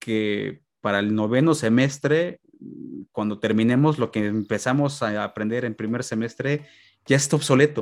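A man speaks in a Mexican accent at a fairly slow pace. The recording is very clean with a silent background, and his pitch variation is ordinary. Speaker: podcast host. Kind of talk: interview.

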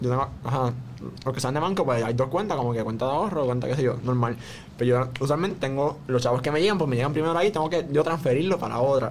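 Over noticeable background noise, a man at medium pitch talks at a very fast pace with ordinary pitch variation. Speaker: podcast host. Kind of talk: casual chat.

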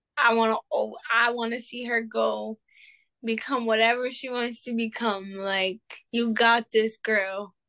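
Her sound dry and close with no echo, a woman with a plain, everyday voice speaks at a fairly high pitch with fairly even intonation. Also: fairly slow pace. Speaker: single mother. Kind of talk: casual chat.

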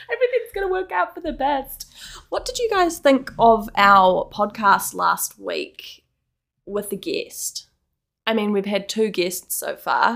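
Speaking at a fairly slow pace, a woman talks in a New Zealand accent. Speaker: podcast co-host. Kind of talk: casual chat.

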